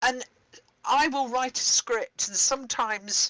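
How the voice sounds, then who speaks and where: This woman's voice has a bright, sharp tone. She speaks with a slight British accent. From Britain. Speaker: theatre director and playwright. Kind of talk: workshop discussion. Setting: live-streamed online workshop.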